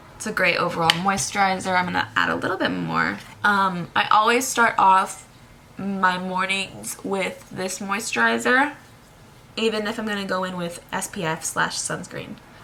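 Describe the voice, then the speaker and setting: There is noticeable background noise as a woman speaks at a moderate pace. Her medium-pitched voice has lively intonation. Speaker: beauty vlogger. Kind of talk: tutorial. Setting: indoors at home. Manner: casual, chatty.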